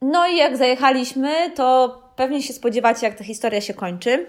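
A woman talks at a moderate pace in a high pitch, recorded very cleanly against a silent background. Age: 30s. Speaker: podcast host, dog owner and pet fair organiser. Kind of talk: solo podcast monologue. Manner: casual, with hesitations.

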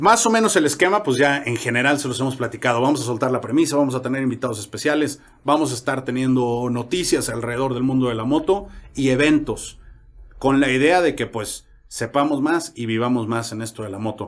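A plain, everyday voice from a man, medium in pitch, at a fairly quick pace with ordinary pitch variation. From Mexico, San Luis Potosí. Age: 30s. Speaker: podcast host, motorcyclist. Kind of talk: casual chat.

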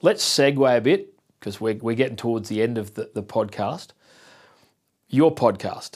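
Medium-pitched man with an Australian accent, ordinary pitch variation, a moderate pace and long, frequent pauses, on a very clean recording with a silent background. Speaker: podcast host and photographer. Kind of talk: casual interview chat.

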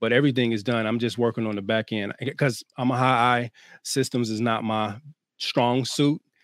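Man's voice, medium pitch, monotone and flat, at a moderate pace, in a dry, close sound with no echo on a very clean recording with a silent background. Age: 30s. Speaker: co-parenting coach and speaker. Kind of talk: casual chat.

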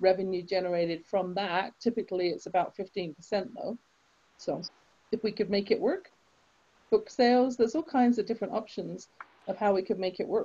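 Here a woman talks with an English accent at medium pitch. She keeps a moderate pace with ordinary pitch variation. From England. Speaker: author and confidence coach. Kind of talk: interview.

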